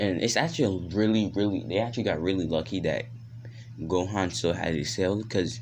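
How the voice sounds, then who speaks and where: Recorded with audible room echo, a man speaks with a very deep, low voice and lively intonation. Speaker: YouTuber telling fan-fiction stories. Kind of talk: casual storytelling. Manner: stuttering at times.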